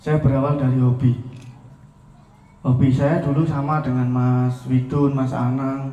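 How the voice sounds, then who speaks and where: The delivery is monotone and flat at a fairly slow pace, broken by long, frequent pauses, with noticeable background noise and audible room echo. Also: man, medium pitch for a man. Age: 20s. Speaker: entrepreneur, volleyball coach. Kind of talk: speech to an audience. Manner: informal, with fillers.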